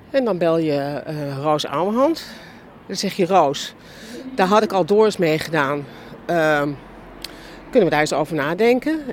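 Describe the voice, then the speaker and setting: Noticeable background noise surrounds a woman speaking at a fairly slow pace with long, frequent pauses. Her pitch is fairly low, and her intonation is lively. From Netherlands, Amsterdam. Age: 60s. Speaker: film and TV director and producer. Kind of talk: casual interview on a walk. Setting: outdoors, walking in a park.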